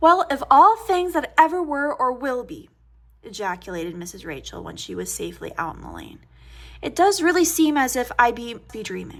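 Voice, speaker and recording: A woman's high voice with very wide pitch swings and big swings in loudness, at a moderate pace, on a very clean recording with a silent background. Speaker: audiobook reader. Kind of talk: reading aloud. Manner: soft-spoken.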